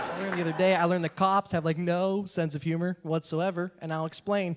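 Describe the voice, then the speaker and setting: A man talks at a very fast pace in a high pitch. He has an American accent. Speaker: comedian. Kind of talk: stand-up.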